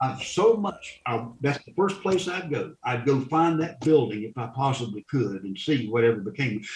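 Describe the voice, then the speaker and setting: With an American accent, a man talks at a moderate pace in a medium pitch. His voice makes very wide pitch swings over noticeable background noise. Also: big swings in loudness. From US South. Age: 70s. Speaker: funeral director and war veteran. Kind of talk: interview conversation. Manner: halting.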